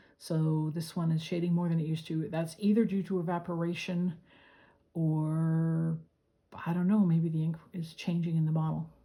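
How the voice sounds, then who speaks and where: At a moderate pace, a woman speaks in a fairly low pitch with a dark, mellow tone that is somewhat breathy. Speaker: fountain pen hobbyist. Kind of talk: casual talk to camera.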